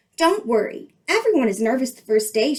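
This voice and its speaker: In a put-on character voice, a woman speaks at a high pitch and a fairly quick pace with very wide pitch swings. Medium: read story. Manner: gushing, brisk.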